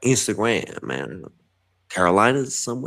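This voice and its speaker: With an American accent and vocal fry, a man speaks very slowly at a fairly low pitch, swinging very widely in pitch. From New York, Bronx. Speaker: writer and podcast guest. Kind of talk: casual chat. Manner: animated; halting.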